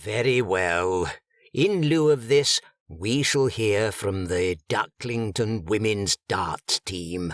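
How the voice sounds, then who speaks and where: In a very clean recording with a silent background and a dry, close sound with no echo, a man uses a put-on character voice, fairly low in pitch, with lively intonation at a very slow pace. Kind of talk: funeral sermon. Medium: read story. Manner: stern, pompous, disapproving.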